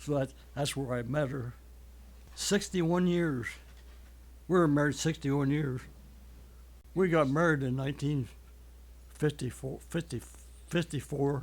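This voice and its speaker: A man's fairly high-pitched, somewhat breathy voice, fairly slow, fairly even in intonation, with long, frequent pauses. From Ohio, Holmes County. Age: 80s+. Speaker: church member, army veteran. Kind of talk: testimony.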